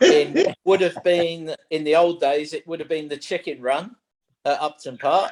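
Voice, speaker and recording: A man's high voice in a London accent, with ordinary pitch variation and a fairly slow pace. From London (Wembley). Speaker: golf coach, panelist. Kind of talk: panel discussion.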